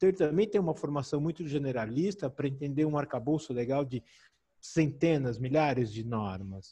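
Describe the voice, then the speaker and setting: Speaking at a moderate pace, a man with a fairly high, somewhat breathy voice and a dark, mellow tone uses lively intonation. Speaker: medical physics expert. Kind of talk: webinar Q&A.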